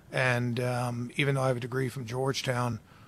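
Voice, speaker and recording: A man speaks at medium pitch with an American accent. His pace is moderate. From Baltimore, US. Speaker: football defensive coordinator. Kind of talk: interview.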